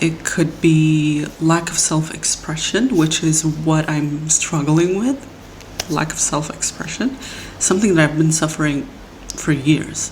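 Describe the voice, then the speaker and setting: Over noticeable background noise, a woman speaks at a fairly slow pace in a very deep, low pitch. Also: ordinary pitch variation. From Middle East. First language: not English, a Middle Eastern language. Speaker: podcast host. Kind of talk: personal monologue podcast. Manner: halting, with self-corrections.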